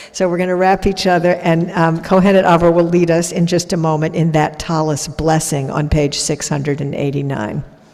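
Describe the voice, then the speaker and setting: A woman talks at a fairly quick pace with hardly any pauses, her fairly low pitch staying fairly even, over noticeable background noise. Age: 60s. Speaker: rabbi. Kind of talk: religious service address. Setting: synagogue with congregation and live stream.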